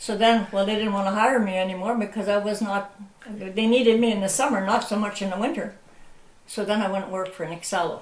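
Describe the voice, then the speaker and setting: Over noticeable background noise and audible room echo, a woman with a Canadian accent speaks at a very fast pace, medium in pitch, with fairly even intonation. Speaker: local elder recalling history. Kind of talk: oral history interview.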